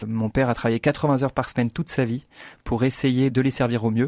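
Medium pitch from a man, dark and mellow in tone, monotone and flat, at a fairly quick pace, with a dry, close sound with no echo on a very clean recording with a silent background. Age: 30s. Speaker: business owner. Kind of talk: interview.

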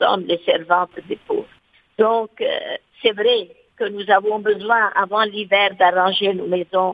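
This woman speaks at a very slow pace and a medium pitch. Her intonation stays fairly even. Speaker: nun. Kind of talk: interview.

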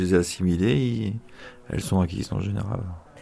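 An ordinary speaking voice from a man, fairly low-pitched with ordinary pitch variation, at a moderate pace, in a very clean recording with a silent background. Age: 50s. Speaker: prison inmate. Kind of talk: interview. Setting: prison.

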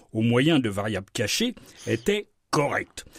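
A man speaks at a very slow pace, somewhat breathy. His pitch swings very widely. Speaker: science columnist on radio. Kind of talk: radio science segment.

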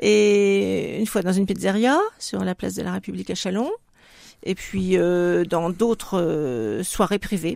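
A woman talks at a fairly slow rate on a very clean recording where the background is silent. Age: 60s. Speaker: retired hospital worker and association president. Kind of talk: radio interview. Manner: hesitant, with fillers.

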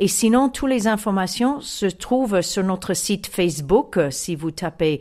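On a very clean recording with a silent background, a woman with an American accent speaks at a fairly slow pace with lively intonation. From US (Chicago). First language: English (speaking French). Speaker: music association president. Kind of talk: interview. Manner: halting.

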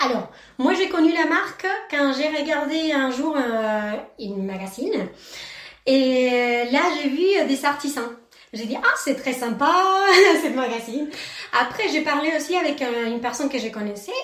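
Lively intonation in an Argentine accent at a fairly slow pace, with long, frequent pauses and audible room echo. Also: woman, high pitch for a woman. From Argentina, Mendoza. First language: Spanish (speaking French). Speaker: ceramic artist. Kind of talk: radio interview.

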